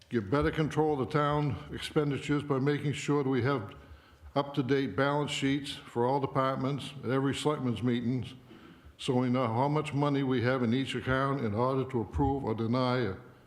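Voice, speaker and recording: Talking at a fairly quick pace with an American accent, a man of medium pitch holds a fairly even intonation and very even loudness amid audible room echo. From Maine, US (Limerick). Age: 70s. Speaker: local election candidate, retired professor. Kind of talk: candidate speech at town forum.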